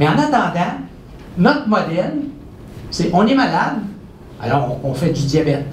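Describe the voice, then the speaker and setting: A man with a Quebec accent speaks at a moderate pace with very wide pitch swings. Audible room echo and noticeable background noise surround his voice. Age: 60s. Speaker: professor and researcher. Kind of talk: public lecture. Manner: animated.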